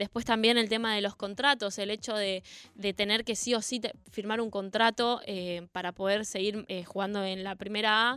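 Bright and sharp in tone, a woman at medium pitch speaks monotonously and flatly at a moderate pace with hardly any pauses. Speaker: women's football player. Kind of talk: radio interview.

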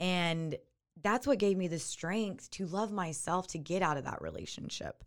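A woman's normal speaking voice at medium pitch, moderate pace and ordinary pitch variation. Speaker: yoga instructor and abuse survivor. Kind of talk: casual interview, telling her story.

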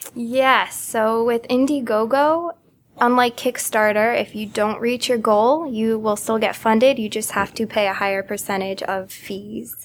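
A woman with an American accent and an unremarkable speaking voice talks at a fairly slow pace, her pitch fairly high and her pitch variation ordinary. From Connecticut. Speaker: startup co-founder. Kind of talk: interview.

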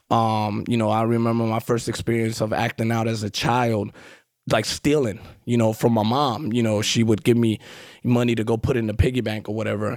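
In a very clean recording with a silent background, a man speaks at a fairly quick pace with a medium pitch and monotone, flat intonation. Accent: New York. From Queens, New York. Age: 40s. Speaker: recovering addict, guest. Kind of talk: casual interview. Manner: conversational, fills with 'you know'.

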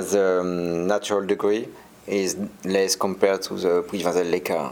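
Against noticeable background noise, a man with a fairly low voice and a French accent talks at a fairly slow pace with fairly even intonation. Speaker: winemaker. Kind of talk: interview about wine tasting. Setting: radio studio. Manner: hesitant, many fillers.

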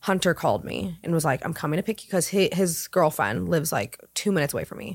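With an American accent, a woman speaks at a very deep, low pitch with vocal fry and lively intonation on a very clean recording with a silent background. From Southern California. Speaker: wardrobe stylist. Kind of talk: casual chat.

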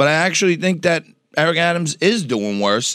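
A man with a New York accent talks at a fairly quick pace, his pitch swinging very widely over vocal fry. The sound is dry and close with no echo, and the recording is very clean with a silent background. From New York City, Lower East Side and Staten Island. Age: 50s. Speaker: businessman, TV personality. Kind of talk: casual interview chat.

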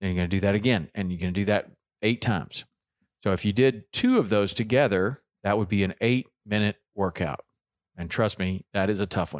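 A man with a Southern US accent, fairly low-pitched, at a fairly quick pace with ordinary pitch variation, in a dry, close sound with no echo on a very clean recording with a silent background. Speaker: fitness podcast host. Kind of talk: casual solo talk, fitness tips. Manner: conversational with fillers.

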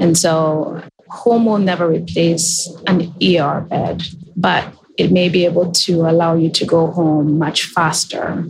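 Over music in the background, a woman speaks very slowly at a fairly low pitch. Her intonation is monotone and flat, and her loudness stays very even. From Kenya. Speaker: healthcare technology executive. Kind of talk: interview.

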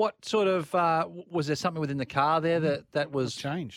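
A man at a very fast pace, with ordinary pitch variation, a dry, close sound with no echo, and a very clean recording with a silent background. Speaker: motorsport commentator co-host. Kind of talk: casual motorsport analysis.

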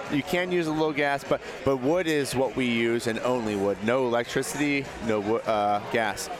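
With very even loudness, a man talks at a moderate pace over noticeable background noise. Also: medium pitch for a man, ordinary pitch variation. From Pittsburgh. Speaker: pizza chef. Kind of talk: casual interview. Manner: halting.

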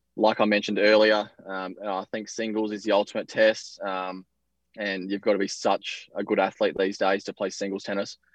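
An Australian-accented man speaks at a moderate pace in a fairly low pitch with flat, monotone intonation, recorded dry and close with no echo against a quiet background. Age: 20s. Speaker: professional tennis player. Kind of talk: interview.

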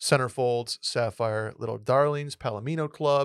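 This very clean recording, with a silent background, has a dry, close sound and no echo. A man speaks in a plain, everyday voice at medium pitch with fairly even intonation. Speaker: podcast guest. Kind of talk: casual chat.

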